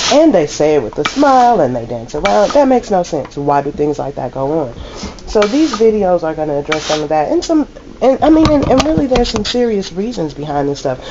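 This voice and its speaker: Loud and fairly quick, a woman talks with a fairly low pitch and very wide pitch swings. Noticeable background noise is present. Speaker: laundromat owner and vlogger. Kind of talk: casual vlog monologue.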